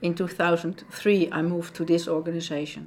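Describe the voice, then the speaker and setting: A woman's fairly low-pitched voice at a fairly slow pace. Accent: Dutch. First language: Dutch. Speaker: dog behaviorist and trainer at an animal shelter. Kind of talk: interview.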